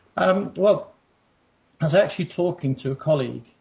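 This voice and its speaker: A man speaks with an English accent. His voice is somewhat breathy. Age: 50s. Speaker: pilot. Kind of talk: interview. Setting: internet call. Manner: halting.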